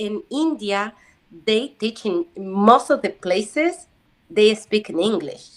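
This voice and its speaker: At a very slow pace, a woman with a Spanish accent speaks in a fairly high pitch with lively intonation. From Uruguay. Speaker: language student. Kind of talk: casual chat. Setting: video call. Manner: halting.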